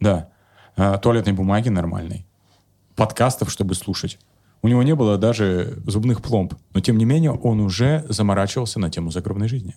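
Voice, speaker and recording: A man talks at a fairly low pitch with ordinary variation and a dark, mellow tone. He keeps a moderate pace with long, frequent pauses. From Kemerovo, Siberia, Russia. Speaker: psychologist and comedian. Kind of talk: casual chat with jokes and swearing. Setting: video podcast. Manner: animated, humorous, joking.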